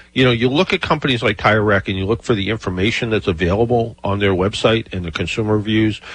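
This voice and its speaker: This is an unremarkable speaking voice with lively intonation. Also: man. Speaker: radio host, car expert. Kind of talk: radio call-in show. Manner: casual, filler-heavy.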